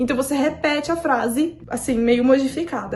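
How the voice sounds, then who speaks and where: Talking at a fairly quick pace, a woman uses a high pitch with ordinary variation. Background noise is noticeable. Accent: Brazilian. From Brazil. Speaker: youtuber, au pair. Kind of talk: casual vlog monologue.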